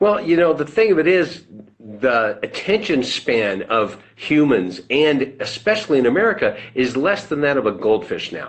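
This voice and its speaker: A man with a fairly high pitch and vocal fry speaks at a moderate pace with hardly any pauses. His pitch swings very widely. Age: 60s. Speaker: financial services business owner. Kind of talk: interview. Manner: conversational.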